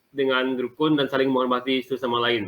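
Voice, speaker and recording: Man speaking at a fairly quick pace. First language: Dayak Ahe (speaking Indonesian). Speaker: university student. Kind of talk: class presentation.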